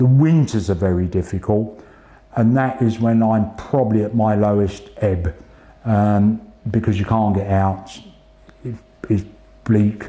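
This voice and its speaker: With an English accent, a man speaks at a fairly slow pace in a fairly low pitch. His intonation stays fairly even, broken by long, frequent pauses. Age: 60s. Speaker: retired police officer and cancer patient. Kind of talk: interview testimony. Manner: halting, with hesitations and repeats.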